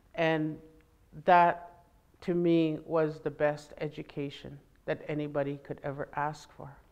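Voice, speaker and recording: This woman's voice is very deep and low in pitch. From Alberta, Canada. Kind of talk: public talk. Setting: library event with audience. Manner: animated.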